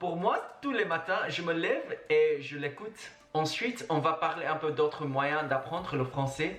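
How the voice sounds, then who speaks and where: The speaker goes at a fairly slow pace while noticeable background noise runs underneath. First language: Mandarin (speaking French). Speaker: travel and language-learning vlogger. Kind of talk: casual vlog monologue.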